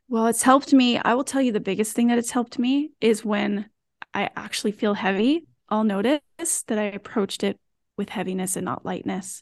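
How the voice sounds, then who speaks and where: A woman with an unremarkable speaking voice talks at a fairly quick pace with a fairly high pitch and ordinary pitch variation, in a dry, close sound with no echo and a quiet background. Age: 40s. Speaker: wellness app team member. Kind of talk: casual conversation.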